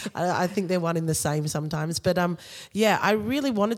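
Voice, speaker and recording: This woman has a fairly low pitch and an Australian accent. Her pitch variation is ordinary. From Australia (Sydney). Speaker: dancer, director and choreographer. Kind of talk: interview.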